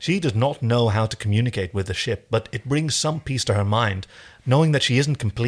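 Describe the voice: Someone reads text aloud. The reading is plain.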